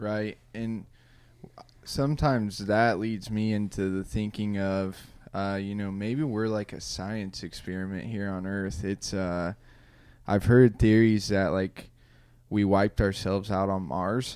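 This man has a Midwestern US accent and fairly even intonation. The recording is very clean, with a silent background. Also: fairly low pitch for a man, fairly slow pace. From Indiana. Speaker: podcast host. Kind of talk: casual chat. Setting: studio.

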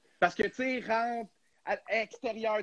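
A man's voice with a bright, sharp tone. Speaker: hockey podcast host. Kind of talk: casual chat. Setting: live stream.

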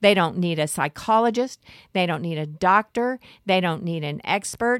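A woman talks with lively intonation. The recording is very clean, with a silent background. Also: dry, close sound with no echo. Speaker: family rights attorney. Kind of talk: radio interview. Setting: studio.

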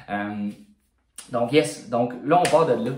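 Fairly slow speech in a Quebec accent, with audible room echo. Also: man. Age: 20s. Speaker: fitness coach and bodybuilder. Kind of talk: casual monologue podcast.

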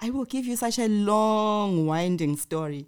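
On a very clean recording with a silent background, a woman uses a plain, everyday voice with lively intonation at a moderate pace. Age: middle-aged. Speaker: podcast host. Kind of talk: casual chat.

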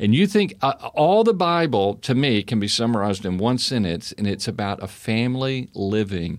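Using an unremarkable speaking voice, a man with an American accent talks at a moderate pace and fairly low pitch, with lively intonation. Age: 60s. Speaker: housing business owner and former pastor. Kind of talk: casual interview. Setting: studio.

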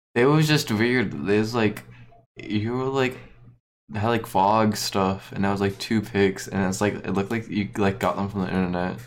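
Speaking at a moderate pace, a man has an unremarkable speaking voice, a fairly low pitch and ordinary pitch variation. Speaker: friend of the hosts. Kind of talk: casual chat.

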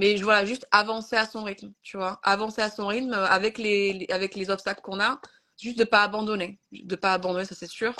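Over a quiet background, a woman with a medium pitch speaks in a bright, sharp tone with monotone, flat intonation. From France. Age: 30s. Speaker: content creator. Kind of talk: casual chat. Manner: halting.

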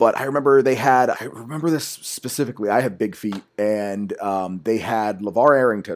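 A man talks in an ordinary speaking voice at a moderate pace, with ordinary pitch variation and hardly any pauses. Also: medium pitch for a man. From Washington D.C. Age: 30s. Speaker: podcast host. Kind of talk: casual chat. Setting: home recording into a computer.

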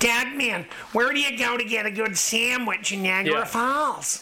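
A female-sounding voice uses a put-on character voice with a fairly high pitch at a moderate pace. Clear background noise can be heard.

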